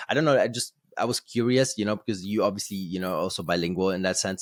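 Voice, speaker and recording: Speaking very fast with a German accent and ordinary pitch variation, a man is heard in a very clean recording with a silent background and a dry, close sound with no echo. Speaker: podcast host. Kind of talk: casual chat. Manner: halting, many fillers and repeated words.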